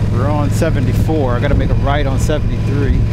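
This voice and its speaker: The sound is dry, with no echo. Loud background noise runs underneath the voice. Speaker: motorcycle vlogger. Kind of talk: casual vlog chat. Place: motorbike. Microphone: helmet.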